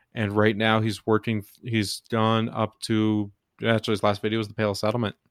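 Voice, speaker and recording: A man with an American accent speaks at a fairly quick pace and fairly low pitch, in monotone, flat intonation. The sound is dry and close with no echo, a very clean recording with a silent background. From Texas. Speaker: podcast host. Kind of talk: casual chat.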